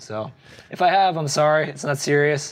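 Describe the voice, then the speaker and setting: This man has a normal speaking voice, moving at a moderate pace with ordinary pitch variation. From New Jersey. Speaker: surf magazine editor. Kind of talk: interview.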